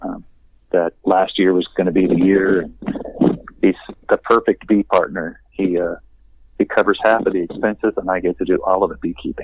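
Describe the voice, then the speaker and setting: Moderate-paced speech from a man, broken by long, frequent pauses. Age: 60s. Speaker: beekeeper. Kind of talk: casual chat. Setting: phone call.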